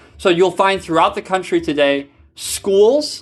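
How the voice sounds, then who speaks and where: Speech comes at a moderate pace against a quiet background. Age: 30s. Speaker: pastor. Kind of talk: lecture. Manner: halting.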